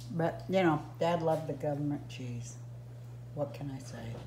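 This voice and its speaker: Someone speaks at a fairly slow pace over light background noise. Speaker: home vlogger. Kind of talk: casual vlog chat. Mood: joking, amused, laughing. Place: kitchen. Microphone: phone near.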